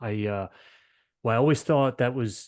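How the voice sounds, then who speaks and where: A man with a slight Maryland accent talks at a fairly quick pace against a quiet background. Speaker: podcast host. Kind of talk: interview.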